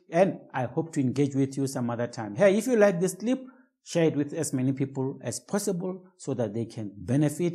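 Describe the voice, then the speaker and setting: Pitched fairly high, a man speaks at a fairly quick pace with a somewhat breathy, dark, mellow tone. His intonation is lively, and the recording is very clean with a silent background. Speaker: business coach. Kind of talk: tutorial.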